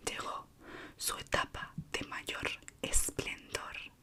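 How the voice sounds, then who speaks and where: A woman whispers over noticeable background noise. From Spain, Madrid. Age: 20s. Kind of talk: ASMR horror story reading. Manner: soft-spoken, slow.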